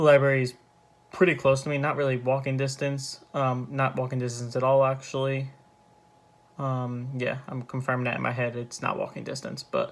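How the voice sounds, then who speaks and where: The speaker is soft-spoken and talks at a moderate pace. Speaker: student vlogger. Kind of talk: casual vlog. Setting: at home. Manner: hesitant, with fillers.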